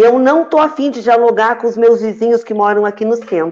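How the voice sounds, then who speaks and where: A woman with an unremarkable speaking voice has a fairly high pitch. She talks at a fairly quick pace. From Santa Vitória do Palmar, Rio Grande do Sul, Brazil. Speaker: teacher and trade union director. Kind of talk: panel discussion on live web show.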